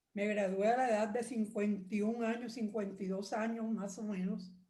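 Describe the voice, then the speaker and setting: A woman's medium-pitched, somewhat breathy voice with a dark, mellow tone, fairly even intonation, a fairly slow pace and audible room echo. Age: 80s+. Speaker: retired lawyer, church member. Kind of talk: testimony.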